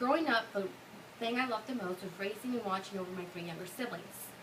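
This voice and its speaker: A woman at medium pitch with ordinary pitch variation and a fairly quick pace, amid audible room echo and noticeable background noise. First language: Spanish. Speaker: college student. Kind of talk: class speech; casual Q&A answer. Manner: halting.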